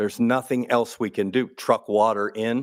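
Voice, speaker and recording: A man uses a normal speaking voice with fairly even intonation. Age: 60s. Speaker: water utility official. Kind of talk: public meeting Q&A. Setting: city council meeting.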